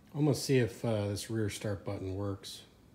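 A man's fairly low, dark, mellow voice, somewhat breathy and fairly even in intonation, at a moderate pace over light background noise. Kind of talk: casual vlog chat. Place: garage. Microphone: phone near.

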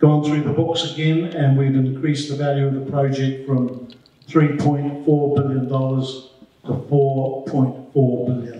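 A man with a New Zealand accent speaks at a very slow pace in a monotone, flat intonation, his pitch fairly high. His tone is dark, mellow and somewhat breathy, with audible room echo. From New Zealand, Upper Hutt. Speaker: media manager for a rail infrastructure project; guest. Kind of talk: presentation to a club meeting. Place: hall. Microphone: handheld.

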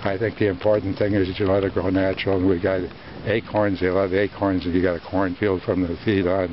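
At a fairly quick pace, a man with a very deep, low voice and an American accent speaks in a flat monotone, the sound dry with no echo and light background noise. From US Midwest, northern Wisconsin. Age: 90s. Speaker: hunter. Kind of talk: interview. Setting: outdoors. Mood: proud, nostalgic, cheerful. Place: forest.

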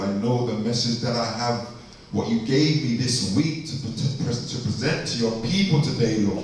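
Strong room echo and light background noise surround a man speaking with lively intonation. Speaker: visiting preacher. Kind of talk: prayer before a sermon. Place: church. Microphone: pa.

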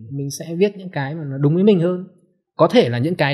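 With a somewhat breathy voice and lively intonation, a man talks at a very fast pace over a quiet background. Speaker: book editor; podcast guest. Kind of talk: casual chat. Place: studio. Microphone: studio mic.

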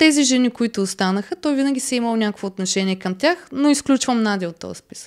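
Talking very fast with hardly any pauses, a woman uses lively intonation at a fairly high pitch over a quiet background. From Bulgaria. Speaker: reality TV contestant; podcast guest. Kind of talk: casual interview. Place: studio. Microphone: studio mic.

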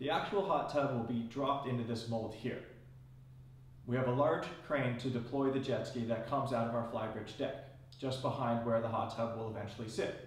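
A man speaks at a medium pitch with ordinary pitch variation. There is audible room echo. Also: moderate pace.

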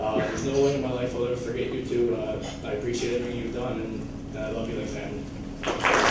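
Over loud background noise and with audible room echo, a man talks at a very fast pace. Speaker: junior hockey player. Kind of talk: farewell banquet speech. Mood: emotional, grateful. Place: hall.

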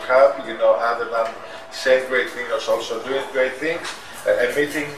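Noticeable background noise fills the recording. A man talks through it. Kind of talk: interview answer. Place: cafe.

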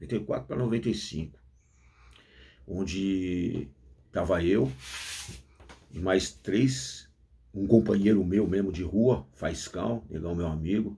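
A man speaks very slowly in a very deep, low voice with a dark, mellow tone, vocal fry and ordinary pitch variation. Long, frequent pauses break up his words against a quiet background. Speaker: former prisoner, YouTuber. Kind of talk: casual monologue. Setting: at home with coffee. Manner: deliberately restrained slang, effortful. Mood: earnest, reflective. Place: office. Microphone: phone near.

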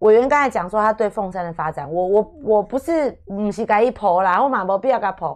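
Against a quiet background, a woman at medium pitch talks at a fairly quick pace with lively intonation and hardly any pauses. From Taiwan, Taipei; Taiwan. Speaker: radio host. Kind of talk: radio interview. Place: studio. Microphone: studio mic.

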